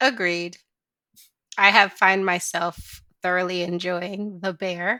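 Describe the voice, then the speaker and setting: With an American accent, a woman speaks at a medium pitch in a bright, sharp tone. The recording is very clean with a silent background, dry and close with no echo. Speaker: podcast host, gamer. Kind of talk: casual podcast interview.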